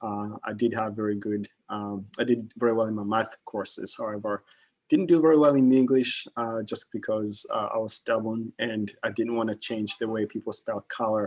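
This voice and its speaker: Speaking with a slight Kenyan accent, a man talks at a moderate pace and medium pitch with fairly even intonation, the sound dry and close with no echo. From Kenya, Nairobi. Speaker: investment manager. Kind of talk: guest talk to students. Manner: halting, many fillers.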